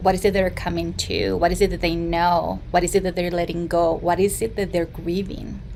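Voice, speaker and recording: A woman with a Mexican accent talks at a fairly quick pace, with hardly any pauses. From Mexico. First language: Spanish. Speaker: therapist. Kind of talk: interview.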